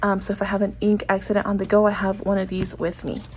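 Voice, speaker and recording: A woman talks very fast at a medium pitch. Her voice is somewhat breathy. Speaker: planner and stationery vlogger. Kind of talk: casual chat. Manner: hesitant, many fillers.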